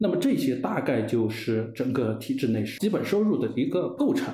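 There is audible room echo around a man's voice. Noticeable background noise sits underneath. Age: 40s. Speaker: former civil servant and leader's secretary. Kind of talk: casual interview chat. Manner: halting, many fillers.

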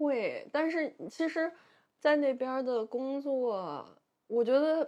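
Speaking at a very slow pace, a woman with a Beijing accent has a high pitch, ordinary pitch variation and a dark, mellow tone. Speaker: artist. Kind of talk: casual chat.

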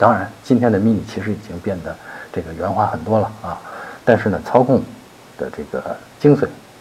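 Amid noticeable background noise, a man with a fairly low pitch and ordinary pitch variation speaks with big swings in loudness and long, frequent pauses. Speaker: car expert answering listener questions. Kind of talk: listener Q&A advice monologue. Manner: many filler sounds, loose conversational pacing.

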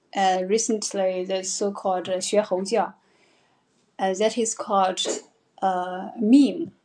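Her voice is medium in pitch with a dark, mellow tone and fairly even intonation. The woman speaks at a very slow pace, with long, frequent pauses. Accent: Chinese. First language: Mandarin Chinese. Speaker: English teacher hosting live stream. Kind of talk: live stream talk. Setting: live stream. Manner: hesitant, many fillers.

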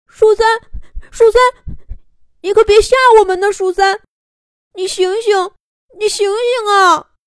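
A woman puts on a character voice at an extremely high pitch, moving at a fairly slow pace with long, frequent pauses. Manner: crying, panicked.

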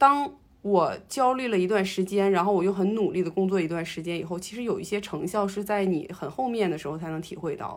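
Fairly quick delivery and normal pitch movement in an ordinary speaking voice. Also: woman, medium pitch for a woman. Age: 30s. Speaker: podcast co-host, office worker. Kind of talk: casual chat.

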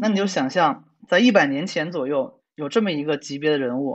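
A man's fairly quick, lively-intoned speech. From China. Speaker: programmer and science writer. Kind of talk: casual chat.

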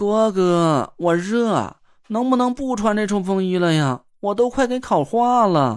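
A whiny put-on character voice, fairly high in pitch, drags along at a fairly slow pace with a whiny tone. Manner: coquettish, whiny, cutesy.

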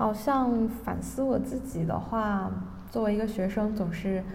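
Audible room echo surrounds a woman who speaks fairly slowly at a fairly high pitch. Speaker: podcast host. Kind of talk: casual interview chat.

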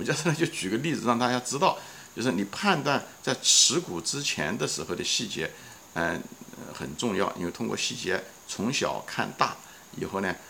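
Noticeable background noise behind a male voice whose pitch rises and falls dramatically. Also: medium pitch for a man, moderate pace. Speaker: podcast host. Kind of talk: solo investing talk. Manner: casual with many fillers.

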